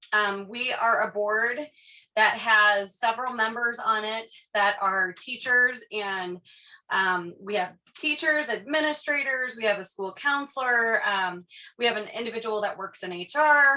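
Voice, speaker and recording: A woman talks loudly at a fairly slow pace in a bright, sharp, fairly high voice. Her pitch varies in an ordinary way. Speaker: state education board official giving training. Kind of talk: presentation. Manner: many filler words (um).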